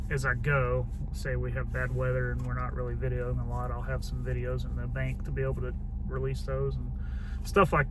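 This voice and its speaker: With music in the background and audible room echo, a man with a Southern US accent talks fairly quickly in a very deep, low, flat monotone. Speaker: homesteading vlogger. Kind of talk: casual vlog talk. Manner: loud.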